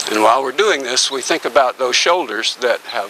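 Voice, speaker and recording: Amid noticeable background noise, the speech goes at a very fast pace with ordinary pitch variation. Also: man. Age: 70s. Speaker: tai chi and qigong instructor. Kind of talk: instructional workshop. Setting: outdoors in a back yard. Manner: calm, paced guidance.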